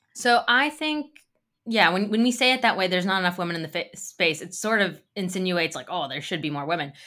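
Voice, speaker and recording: With an American accent, a woman speaks very fast at medium pitch, her voice swinging very widely up and down. Her tone is bright and sharp, on a very clean recording with a silent background. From United States. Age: 30s. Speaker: author. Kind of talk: interview.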